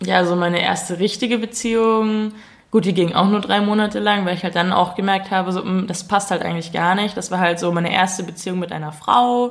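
A woman's plain, everyday voice, medium in pitch, fairly quick in pace and fairly even in intonation. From Munich, Bavaria. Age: 20s. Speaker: YouTuber making comedy videos. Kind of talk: casual chat.

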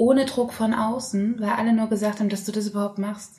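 The speaker's intonation is monotone and flat, and there is noticeable background noise. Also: woman. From Saxony, Leipzig. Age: 30s. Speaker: singer. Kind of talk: casual chat.

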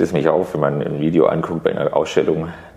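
This man's moderate pace is heard through noticeable background noise. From Karlsruhe, Germany. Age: 30s. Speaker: artist. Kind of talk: interview. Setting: artist's studio.

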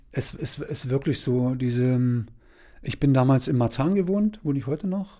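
The recording is very clean with a silent background. A man speaks at a fairly high pitch in a dark, mellow tone. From Saxony-Anhalt, Halle district, small town. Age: 50s. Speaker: former police officer. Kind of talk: casual interview.

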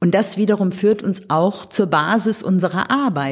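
A somewhat breathy woman's voice at medium pitch. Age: 60s. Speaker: artist and cultural association organizer. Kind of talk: interview.

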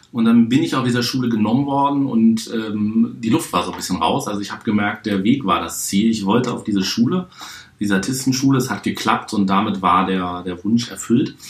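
Amid noticeable background noise, a man speaks at a medium pitch. He keeps a fairly quick pace with ordinary pitch variation. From Hamburg, northern Germany. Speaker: juggler and card-trick performer, show producer. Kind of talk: podcast interview. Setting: hotel room.

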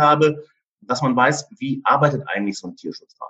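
Bright and sharp in tone, a man's fairly high voice moves at a fairly quick pace. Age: 50s. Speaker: insurance broker. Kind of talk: podcast interview.

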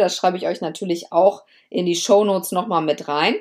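Woman at a fairly quick pace, animated in tone, medium-pitched with ordinary pitch variation, on a very clean recording over a silent background. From Lower Saxony, Germany. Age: 30s. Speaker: lawyer podcaster. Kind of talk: casual personal monologue.

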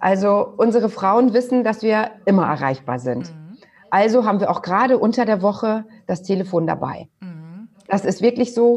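An ordinary speaking voice carries lively intonation and big swings in loudness. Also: woman, medium pitch for a woman, moderate pace. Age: 40s. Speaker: butcher shop co-owner. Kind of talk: interview.

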